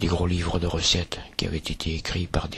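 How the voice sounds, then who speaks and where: A man with a southern French accent speaks at a moderate pace in a very deep, low pitch, with noticeable background noise. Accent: singsong southern French. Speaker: artist, museum creator. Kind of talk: poetic voice-over narration.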